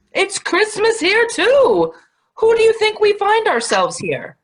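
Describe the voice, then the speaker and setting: A female-sounding, put-on character voice, squeaky and extremely high in pitch. It moves along at a moderate pace. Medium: stage play. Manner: hearty, commanding.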